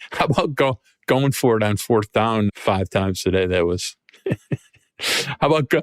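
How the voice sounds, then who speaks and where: A fairly low-pitched man's voice with an American accent, at a moderate pace with long, frequent pauses, lively intonation and very even loudness, in a dry, close sound with no echo. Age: 60s. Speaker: sports podcast host. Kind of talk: casual podcast chat.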